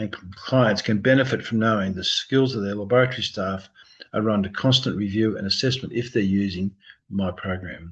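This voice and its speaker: A man mumbling at a fairly quick pace, fairly low in pitch, with ordinary pitch variation. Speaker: embryologist. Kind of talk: lecture.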